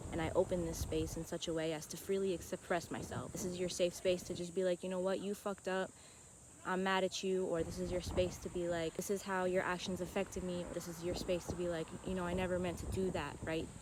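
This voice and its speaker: Speaking fairly quickly, a woman keeps her fairly low voice in a monotone, flat intonation. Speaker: self-help vlogger. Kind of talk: casual monologue.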